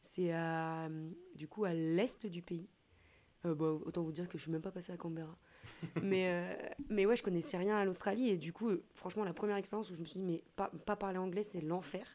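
With long, frequent pauses, a woman talks at a moderate pace in a dark, mellow tone, her fairly low pitch held in fairly even intonation. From western France, Nantes. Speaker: photographer and trainer. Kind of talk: casual chat. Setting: studio.

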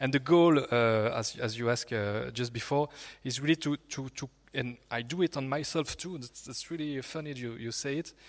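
A man with a French accent and medium pitch, ordinary pitch variation and a moderate pace, on a very clean recording with a silent background. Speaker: YouTuber. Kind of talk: panel discussion. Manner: halting.

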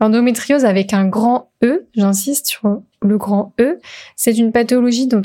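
A woman talks at a fairly slow pace in a fairly high pitch with ordinary variation. Her tone is dark and mellow, and somewhat breathy. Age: 20s. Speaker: podcast host. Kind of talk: solo podcast monologue. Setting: alone at a microphone.

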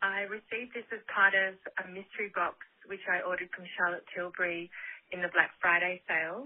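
A woman with an Australian accent at medium pitch, fairly quick, with fairly even intonation. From Australia, Sydney. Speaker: caller. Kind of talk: voicemail.

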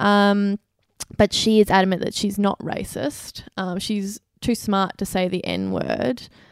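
A woman's very slow delivery, fairly even in intonation, with a dry, close sound and no echo. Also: medium pitch for a woman. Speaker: podcast co-host. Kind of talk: casual chat. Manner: blunt, teasing.

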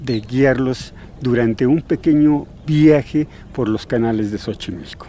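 This man's voice has a dark, mellow tone and a medium pitch. He talks at a fairly slow pace with ordinary pitch variation. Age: 60s. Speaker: kayak tour guide. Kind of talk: guided tour explanation. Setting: outdoors.

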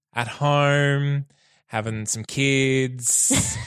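The recording is very clean with a silent background, capturing a man whose voice sits fairly high in pitch. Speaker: producer and co-host. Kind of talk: casual chat.

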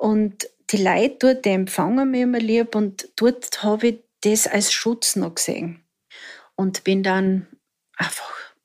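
Fairly high in pitch, a woman speaks with fairly even intonation. The recording is very clean, with a silent background. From Austria, southern Styria. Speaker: survivor of domestic violence. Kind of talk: personal testimony. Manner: halting.

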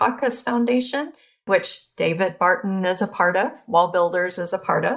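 A woman with an American accent has a plain, everyday voice, speaking at a fairly slow pace and a medium pitch with ordinary pitch variation in a very clean recording with a silent background. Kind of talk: interview.

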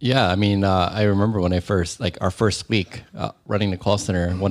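In a Californian accent, a man speaks at a very fast pace. His voice is very deep and low, with fairly even intonation. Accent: Californian American English. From US, San Francisco Bay Area. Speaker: startup co-founder. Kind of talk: casual interview chat.

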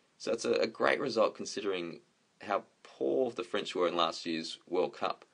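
A man speaks in an Australian accent. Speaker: podcast co-host. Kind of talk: recorded segment, commentary.

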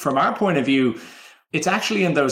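Fairly quick speech in an Irish accent. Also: man. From Ireland. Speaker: campaign pilot program manager. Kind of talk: interview.

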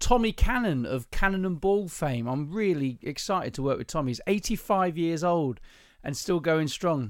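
A man with a southern English accent speaks at a moderate pace with very wide pitch swings. The recording is very clean, with a silent background. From southern England. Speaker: podcast host. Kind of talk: casual chat, podcast between spouses. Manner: teasing, joking.

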